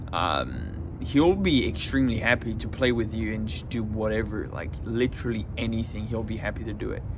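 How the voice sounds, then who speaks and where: A man's fairly low voice at a moderate pace, with very wide pitch swings, hardly any pauses, audible room echo, and noticeable background noise. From France. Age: 20s. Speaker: self-improvement vlogger. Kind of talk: casual monologue. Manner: hesitant, many fillers and repetitions.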